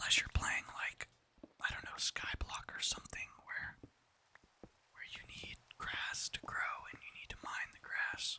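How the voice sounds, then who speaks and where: Someone whispers at a fairly slow pace. Long, frequent pauses break it up, with noticeable background noise behind. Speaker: ASMR gaming YouTuber. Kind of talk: whispered ASMR gaming commentary. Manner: soft-spoken, whispering.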